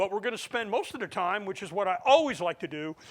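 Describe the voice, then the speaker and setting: Loud and with an American accent, a man speaks. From US Midwest, central Ohio (Groveport near Columbus). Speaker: historian and battlefield guide. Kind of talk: lecture. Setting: lecture hall with audience.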